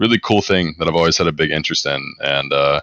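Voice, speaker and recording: Bright and sharp in tone, a man speaks with an American accent. His pitch is very deep and low. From US South, North Carolina. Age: 20s. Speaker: esports coach. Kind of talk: casual interview. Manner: monotone.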